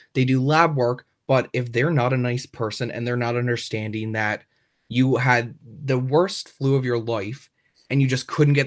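On a very clean recording with a silent background, a man with a Newfoundland accent speaks at a moderate pace and medium pitch. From rural Newfoundland, Canada. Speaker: university student. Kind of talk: interview. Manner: hesitant, with fillers and repetitions.

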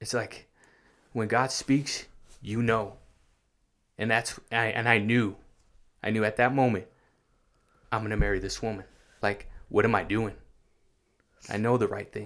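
A man with an American accent speaks in a flat monotone with vocal fry, leaving long, frequent pauses. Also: medium pitch for a man, moderate pace, very clean recording, silent background. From California, Santa Maria. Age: 30s. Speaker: ex-gang member giving faith testimony. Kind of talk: testimony.

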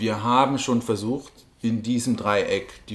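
A man delivers his words at a fairly slow pace, his intonation fairly even. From Germany, Bavaria. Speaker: politician, party co-chair. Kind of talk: interview. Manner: halting.

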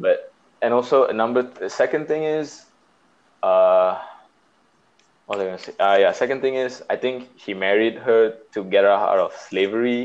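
Speaking at a moderate pace and medium pitch, a man uses ordinary pitch variation and takes long, frequent pauses. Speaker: podcast host. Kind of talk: casual chat. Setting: phone call.

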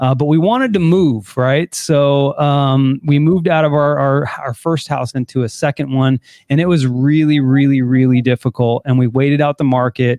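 With hardly any pauses, a man delivers an ordinary speaking voice at a moderate pace, fairly high in pitch, with fairly even intonation and very even loudness. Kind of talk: casual chat.

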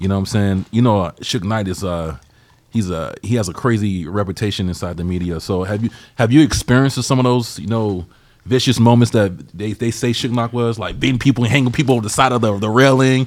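This man talks at a very fast pace with a Southern US accent. His pitch is fairly low, with ordinary variation. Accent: Southern, noticeable. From Georgia. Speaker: podcast host. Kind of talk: casual interview.

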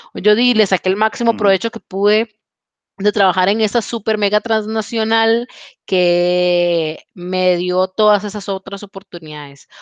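In a Costa Rican accent, the speaker goes at a fairly slow pace with fairly even intonation, the sound dry and close with no echo against a quiet background. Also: woman, medium pitch for a woman. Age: 20s. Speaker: podcast host. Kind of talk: casual chat. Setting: video call.

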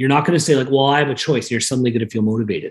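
A man's somewhat breathy voice at medium pitch. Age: 30s. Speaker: mortgage company executive. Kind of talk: interview.

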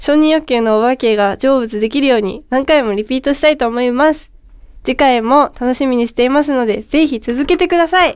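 Her high voice has an animated tone and ordinary pitch variation. The woman moves at a fairly quick pace. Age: 30s. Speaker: podcast co-host. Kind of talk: casual chat. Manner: animated, laughing often.

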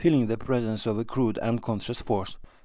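A man's medium-pitched, dramatic delivery at a fairly quick pace. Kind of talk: scripted narration. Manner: measured, dramatic storytelling with a narrator's even pacing.

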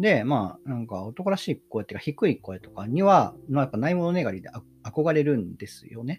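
His pitch swings very widely and his loudness rises and falls sharply as he talks fairly quickly. The man's voice is somewhat breathy, and the recording is very clean with a silent background. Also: fairly high pitch for a man. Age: 30s. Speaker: podcast host and graduate student. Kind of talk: solo casual talk. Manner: fast.

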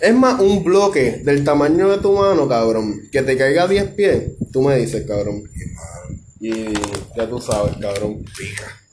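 In a Puerto Rican accent, a man at a medium pitch speaks at a fairly slow pace with very wide pitch swings, with audible room echo and noticeable background noise. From Puerto Rico, Ponce. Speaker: podcast host. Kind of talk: casual chat.

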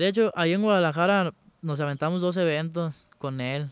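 In a very clean recording with a silent background and a dry, close sound with no echo, a man uses a normal speaking voice at a moderate pace with fairly even intonation. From Mexico, Michoacán (Santa Clara de Valladares). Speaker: rapper. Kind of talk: casual interview chat.

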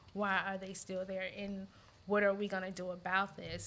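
With an American accent, a woman speaks at medium pitch and a moderate pace. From US South, Montgomery, Alabama. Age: 40s. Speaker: teacher and gym member. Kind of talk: casual discussion.

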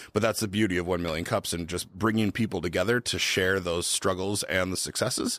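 With an Upper Midwest accent, a man talks at a very deep, low pitch, at a fairly quick pace with hardly any pauses and fairly even intonation. The recording is very clean, with a silent background. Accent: Upper Midwest American. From Minnesota, Twin Cities. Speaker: brewery founder. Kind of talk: casual interview.

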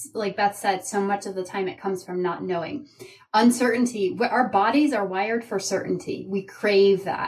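A woman speaks at a moderate pace and medium pitch with ordinary pitch variation. Her voice is somewhat breathy. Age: 40s. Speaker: leadership coach. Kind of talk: interview.

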